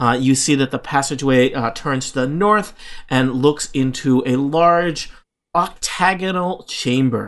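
A man talks at a fairly slow pace in an ordinary speaking voice. His pitch is fairly high, with ordinary pitch variation. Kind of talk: dramatic narration. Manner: measured, atmospheric storyteller pacing with suspenseful pauses.

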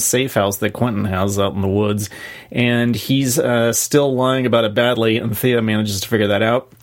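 Speaking at a moderate pace, a man uses a normal speaking voice at a medium pitch with ordinary pitch variation. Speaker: podcast co-host. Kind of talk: casual chat.

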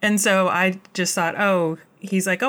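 With a plain, everyday voice, a woman with an American accent speaks at a fairly low pitch with ordinary pitch variation. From United States. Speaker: podcast guest. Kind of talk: casual chat. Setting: remote recording.

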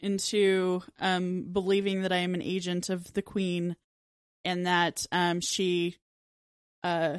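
A woman at medium pitch talks at a fairly slow pace in an unremarkable speaking voice. The recording is very clean with a silent background. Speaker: tabletop game player. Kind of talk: tabletop roleplaying game, casual banter.

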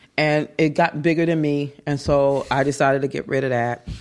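The speaker is a woman with a very deep, low pitch. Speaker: app developer. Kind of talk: interview conversation. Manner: animated.

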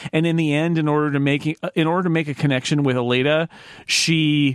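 Here a man uses a normal speaking voice with fairly even intonation. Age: 50s. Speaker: podcast host. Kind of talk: casual chat.

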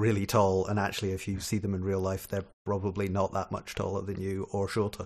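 In a Scottish accent, a man talks at a moderate pace with a fairly low pitch. The recording is very clean, with a silent background. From Scotland. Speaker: software developer, podcast guest. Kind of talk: casual chat.

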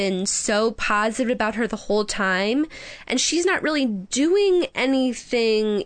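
A natural reading voice carries lively intonation.

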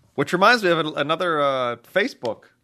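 At a moderate pace, the voice carries a bright, sharp tone. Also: man, quiet background. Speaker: co-host, newspaper politics writer. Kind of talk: casual chat. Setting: studio.

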